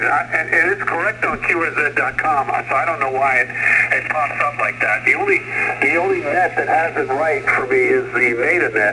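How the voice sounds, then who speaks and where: Speaking at a moderate pace with hardly any pauses, the man keeps his loudness very even despite noticeable background noise. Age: 70s. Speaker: ham radio operator checking into a net. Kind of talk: amateur radio net check-in. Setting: ham radio transmission.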